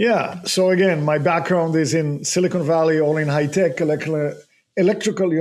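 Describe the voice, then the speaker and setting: A man speaks with a slight non-native accent at a moderate pace. His pitch is high and his intonation fairly even. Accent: slight foreign. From abroad, not the US. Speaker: real estate investor. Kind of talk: podcast interview. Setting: studio.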